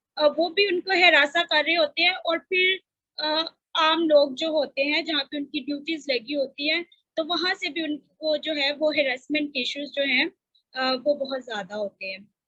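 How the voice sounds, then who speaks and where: A fairly slow pace with ordinary pitch variation. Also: woman. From Pakistan, Faisalabad. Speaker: panelist, sanitary workers advocate. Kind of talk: panel discussion. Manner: hesitant, many fillers.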